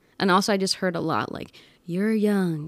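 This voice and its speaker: A woman with a normal speaking voice talks at a fairly quick pace. Her pitch is fairly low, with ordinary variation. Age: 20s. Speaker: podcast editor and creative entrepreneur. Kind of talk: casual interview chat.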